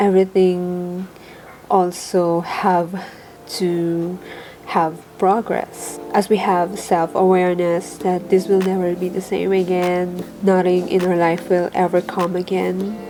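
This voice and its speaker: The delivery is monotone and flat at a very slow pace, with noticeable background noise. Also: woman. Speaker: personal development vlogger. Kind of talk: casual talk to camera.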